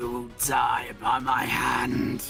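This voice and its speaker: A man puts on a raspy character voice at a medium pitch. Faint music plays in the background. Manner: menacing.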